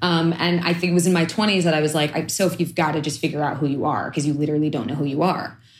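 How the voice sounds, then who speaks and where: A woman with an American accent talks at a very fast pace, her pitch very deep and low, with hardly any pauses. Her intonation stays fairly even and her loudness very even. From East New York, Brooklyn. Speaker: chef and food activist. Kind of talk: interview conversation.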